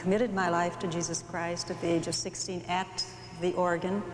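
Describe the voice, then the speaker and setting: A woman's fairly low voice is heard with audible room echo and noticeable background noise. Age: 50s. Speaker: pastor's wife. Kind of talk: interview.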